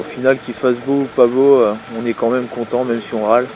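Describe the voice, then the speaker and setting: A man's moderate-paced speech comes through noticeable background noise. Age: 20s. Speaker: fisherman, deckhand. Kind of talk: interview testimony. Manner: hesitant, many fillers.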